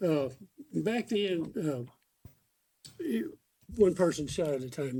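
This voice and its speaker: A man with a Texan accent speaks in a dark, mellow tone. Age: 80s. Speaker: veteran fast draw shooter. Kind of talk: casual interview chat.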